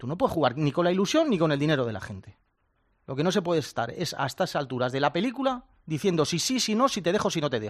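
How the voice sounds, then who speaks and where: A man talks at a very fast pace in a fairly high pitch, with very wide pitch swings. His tone is animated. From rural Spain. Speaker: futsal pundit. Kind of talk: panel discussion.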